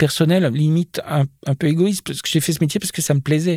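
At a moderate pace, the voice comes through with ordinary pitch variation in a dry, close sound with no echo on a very clean recording with a silent background. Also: man. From Jura, eastern France. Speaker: costume designer. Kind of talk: interview. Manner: hesitant, many repetitions.

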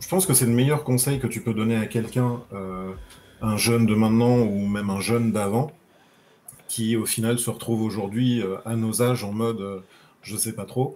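A man talks at a moderate pace in a plain, everyday voice of medium pitch. His pitch varies in an ordinary way, while his loudness swings widely. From southern France, Nice. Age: 30s. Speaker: interview guest sharing coming-out story. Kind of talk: casual interview.

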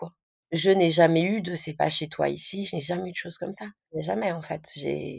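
With vocal fry and a dark, mellow tone, a woman is heard on a very clean recording against a silent background. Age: 30s. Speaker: stepmother sharing her experience. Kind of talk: casual interview testimony.

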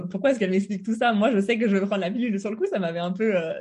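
A woman's very fast, enthusiastic delivery at medium pitch, with ordinary pitch variation. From eastern France, between Lyon and Geneva. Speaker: symptothermy instructor, former engineer. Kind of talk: casual interview.

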